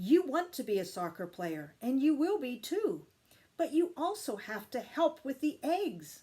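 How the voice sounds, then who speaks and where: A woman's put-on character voice, high in pitch, with very wide pitch swings at a moderate pace. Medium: read story.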